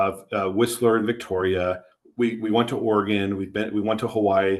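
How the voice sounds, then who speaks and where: Speaking at a moderate pace, a man uses a flat, monotone intonation with a fairly low pitch. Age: 40s. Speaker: insurance agency co-owner. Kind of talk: podcast interview. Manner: conversational, with frequent false starts.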